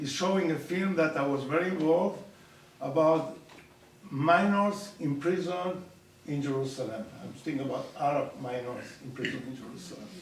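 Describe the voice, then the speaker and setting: With audible room echo and noticeable background noise, a man speaks at a moderate pace and fairly high pitch, with ordinary pitch variation. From Argentina. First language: Spanish. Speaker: professor. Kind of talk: public talk. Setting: community center audience.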